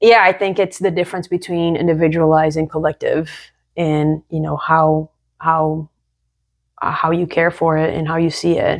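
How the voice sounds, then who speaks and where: Speaking at a moderate pace in a Brazilian accent, the voice keeps a monotone, flat intonation on a very clean recording with a silent background. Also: woman. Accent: Brazilian Portuguese accent, still noticeable. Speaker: podcast co-host. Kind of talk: casual chat.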